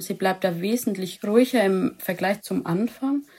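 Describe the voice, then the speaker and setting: On a very clean recording with a silent background, a woman speaks at a medium pitch and a fairly slow pace, her tone dark and mellow and her intonation fairly even. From Lower Franconia, Germany. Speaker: dog owner, animal welfare volunteer. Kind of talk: interview.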